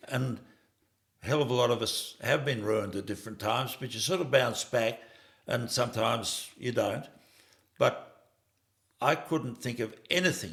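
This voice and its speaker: A man with an Australian accent talks with ordinary pitch variation, breaking often into long pauses. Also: medium pitch for a man, moderate pace. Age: 70s. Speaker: farmer. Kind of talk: interview. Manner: halting.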